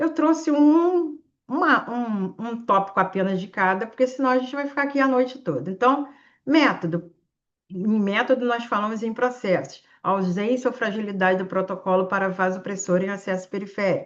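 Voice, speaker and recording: A woman speaks in a Carioca accent with lively intonation. Her pitch is fairly high, and her pace is moderate. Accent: Carioca (Rio de Janeiro). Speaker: intensive care physician and teacher. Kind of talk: live online exam-prep class with case discussion. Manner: animated.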